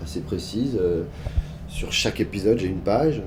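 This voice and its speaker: A man's voice with audible room echo. There is noticeable background noise as well. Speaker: actor. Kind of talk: interview. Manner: loud.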